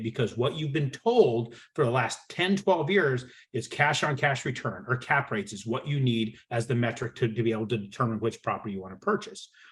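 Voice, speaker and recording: A man with a medium-pitched, somewhat breathy voice talks at a fairly quick pace in an animated tone. His intonation is lively, and the background is quiet. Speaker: real estate broker. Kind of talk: webinar presentation. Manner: fast.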